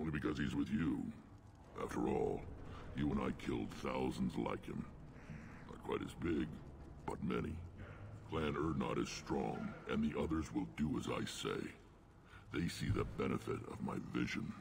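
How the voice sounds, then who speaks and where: Putting on a character voice, a man speaks at a moderate pace in a very deep, low pitch, with long, frequent pauses and clear background noise. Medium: video game. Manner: gruff, blunt.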